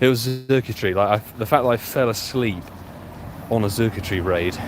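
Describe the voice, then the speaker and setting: Over noticeable background noise, a man with an English accent talks with ordinary pitch variation. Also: fairly low pitch for a man, fairly quick pace. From London, England. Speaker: pokemon go streamer. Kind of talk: live stream commentary. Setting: outdoors playing on the go. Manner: casual, animated.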